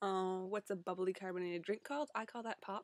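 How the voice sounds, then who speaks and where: The speech comes at a fairly quick pace in a dry, close sound with no echo. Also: woman. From Ontario, Canada. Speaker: online community editor making vlog. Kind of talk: casual vlog. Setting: webcam recording on a laptop. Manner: casual with many fillers.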